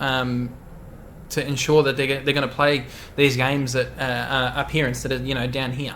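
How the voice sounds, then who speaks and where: Noticeable background noise sits under a man speaking at medium pitch and a moderate pace with monotone, flat intonation. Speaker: Twitch streamer. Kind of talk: casual tech discussion.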